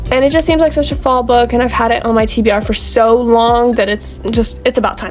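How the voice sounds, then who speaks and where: A woman talks fairly quickly while music runs behind her. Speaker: booktube creator. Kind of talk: casual vlog talk.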